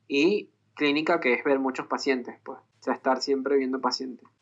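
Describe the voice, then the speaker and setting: The tone is bright and sharp, the pace moderate, and the background quiet. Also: man. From Venezuela. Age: 30s. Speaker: psychologist and musician. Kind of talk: interview. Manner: halting.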